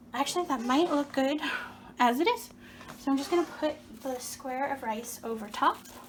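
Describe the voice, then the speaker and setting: A woman's high voice at a moderate pace, with ordinary pitch variation and long, frequent pauses. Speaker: cooking demonstrator. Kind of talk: cooking tutorial. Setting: home kitchen. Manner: casual, chatty.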